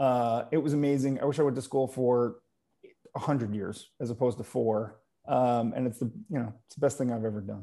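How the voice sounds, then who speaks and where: With an American accent, the speaker uses a dark, mellow tone and fairly even intonation at a fairly quick pace. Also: man, medium pitch for a man. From upstate New York (Utica). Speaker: tech company CEO. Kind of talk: interview.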